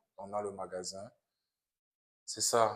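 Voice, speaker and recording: A man's fairly low, flat monotone in a Cameroonian accent at a very slow pace. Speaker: international student, immigrant worker. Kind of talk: testimony in a podcast interview. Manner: hesitant, repeats words.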